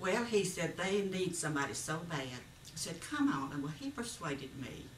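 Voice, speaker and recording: In a Southern US accent, a woman with a fairly low pitch speaks with very wide pitch swings, amid audible room echo and noticeable background noise. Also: moderate pace. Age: 80s+. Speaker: retired schoolteacher. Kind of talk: personal reminiscence.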